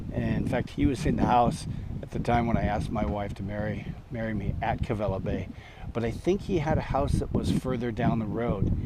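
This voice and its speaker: A man talks at a fairly quick pace in a medium pitch, with lively intonation. Noticeable background noise and audible room echo surround his voice. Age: 60s. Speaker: storyteller. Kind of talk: casual storytelling monologue. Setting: outdoors at a campsite. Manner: halting, many fillers.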